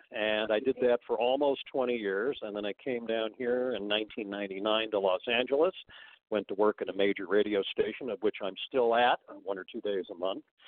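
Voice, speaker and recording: A man with an American accent and a plain, everyday voice talks at a moderate pace, his fairly low pitch held in fairly even intonation. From US West Coast, San Francisco Bay Area. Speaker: record store owner. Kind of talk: casual chat.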